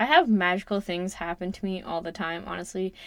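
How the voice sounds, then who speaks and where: Recorded very cleanly against a silent background, a woman with a Western Canadian accent speaks at a medium pitch. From Canada, Alberta-Saskatchewan border. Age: 20s. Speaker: podcast host, self-development coach. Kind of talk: casual monologue.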